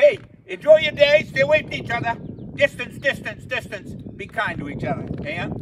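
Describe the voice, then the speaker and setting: A man speaks at a fairly quick pace in an extremely high pitch with very wide pitch swings. His loudness swings a lot over noticeable background noise. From Maine. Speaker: humorist, storyteller; storyteller. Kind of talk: comic storytelling monologue. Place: garden. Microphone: camera far.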